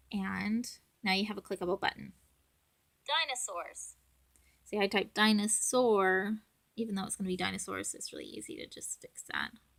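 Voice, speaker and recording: A soft-spoken woman at a moderate pace, with big swings in loudness and long, frequent pauses. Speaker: parent making app tutorial. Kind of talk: tutorial. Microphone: audio issues.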